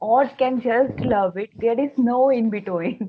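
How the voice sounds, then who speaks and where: A woman with a Bengali accent talks at a fairly slow pace, her pitch varying in an ordinary way. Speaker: book blogger guest. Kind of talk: casual interview chat.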